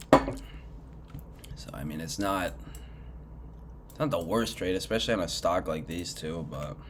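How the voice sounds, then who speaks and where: A man with a very deep, low pitch, very wide pitch swings and big swings in loudness, at a fairly slow pace amid noticeable background noise. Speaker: retail trader. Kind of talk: casual screen-share commentary.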